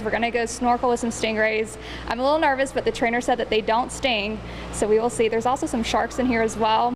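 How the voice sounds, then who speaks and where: Over noticeable background noise, a woman talks very fast in an upbeat tone with a fairly high pitch. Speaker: TV news anchor. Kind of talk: live field reporting, casual.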